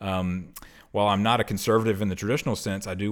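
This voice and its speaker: A man speaks at a very fast pace. His very deep, low voice keeps a fairly even intonation. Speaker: podcast host. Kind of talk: casual chat.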